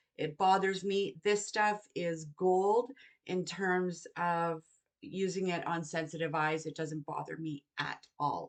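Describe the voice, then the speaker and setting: Here a woman speaks at a very slow pace. Her pitch sits fairly low, with ordinary variation. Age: 60s. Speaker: beauty vlogger. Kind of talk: tutorial. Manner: casual, chatty.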